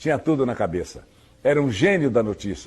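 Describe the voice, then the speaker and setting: His pitch is fairly high. The man has a plain, everyday voice. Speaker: radio news announcer. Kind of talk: interview answer.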